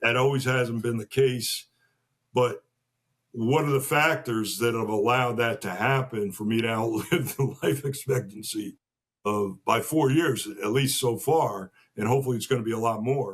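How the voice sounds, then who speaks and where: The speaker has an American accent and a somewhat breathy voice. The pace is moderate. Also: man, medium pitch for a man, ordinary pitch variation. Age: 60s. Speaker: podcast guest. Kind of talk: casual interview conversation.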